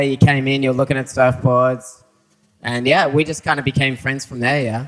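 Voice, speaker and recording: A man speaks at a medium pitch in an Australian accent. His intonation is monotone and flat. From Australia, Sydney. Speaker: surfer. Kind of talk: panel talk before a live audience. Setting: venue with live audience.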